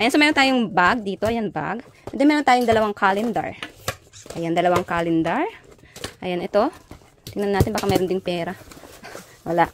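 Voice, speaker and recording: Over noticeable background noise, a woman with an Ilocano accent speaks at a fairly quick pace and medium pitch, using lively intonation and long, frequent pauses. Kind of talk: casual, addressing viewers.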